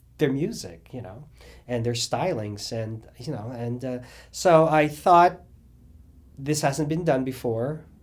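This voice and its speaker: The speech is very slow, with long, frequent pauses and audible room echo. Its intonation is lively, and the loudness swings widely. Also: man, medium pitch for a man. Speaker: drag cabaret singer. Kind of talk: interview. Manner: halting.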